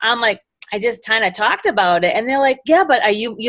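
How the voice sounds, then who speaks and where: A woman with a Boston accent talks in a high pitch. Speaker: direct sales executive director. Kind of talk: motivational talk on a live video call. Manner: animated.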